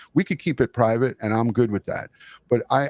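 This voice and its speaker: Man with a New York accent at medium pitch and ordinary pitch variation, in a dry, close sound with no echo. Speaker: retired detective, true crime YouTuber. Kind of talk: live interview. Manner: halting.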